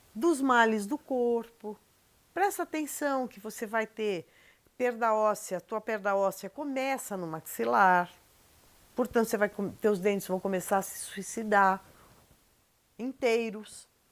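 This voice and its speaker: A fairly slow pace with long, frequent pauses, ordinary pitch variation and big swings in loudness. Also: woman, fairly high pitch for a woman. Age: 60s. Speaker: documentary interviewee. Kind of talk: interview.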